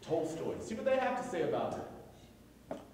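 Lively intonation at a fairly slow pace, with strong room echo and light background noise. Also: man. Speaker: poet. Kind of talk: live commentary to an audience. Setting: live venue. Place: hall. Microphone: camera far.

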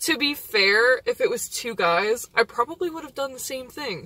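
The woman's voice sits high in pitch, with a bright, sharp tone and a dry sound with no echo. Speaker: vlogger. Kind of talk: casual vlog chat. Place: car. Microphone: phone near.

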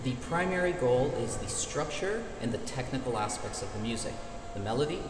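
Clear music plays behind a man talking at a moderate pace. The room echo is audible. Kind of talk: explanatory answer to viewer questions. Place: hall. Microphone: phone near.

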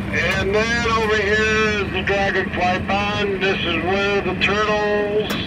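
Loud background noise sits under a man's voice. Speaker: zoo train guide. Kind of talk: tour guide commentary. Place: train.

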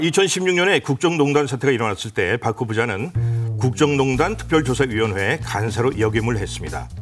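A man talks with very wide pitch swings while clear music plays in the background. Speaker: voice actor. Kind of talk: TV segment narration of a profile. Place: studio.

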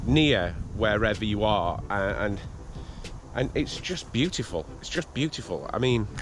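Against noticeable background noise in a dry sound with no echo, a man with a fairly low pitch speaks at a fairly slow pace, using very wide pitch swings. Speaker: family vlogger. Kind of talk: casual vlog chat. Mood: cheerful, admiring. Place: garden. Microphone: phone near.

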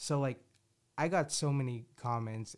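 A man talks with a South Jersey accent. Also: quiet background. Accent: South Jersey American. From southern New Jersey, US. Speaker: podcast host. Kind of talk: casual chat. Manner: animated, rambling. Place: home room. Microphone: studio mic.

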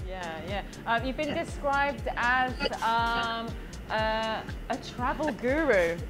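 The voice moves at a very slow pace while clear music plays in the background. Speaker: podcast interviewer. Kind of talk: interview questions. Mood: friendly, curious. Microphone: video call.

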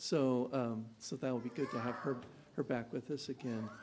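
A man speaks with fairly even intonation while noticeable background noise is present. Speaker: announcements leader. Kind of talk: announcements. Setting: church. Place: church. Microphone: podium.

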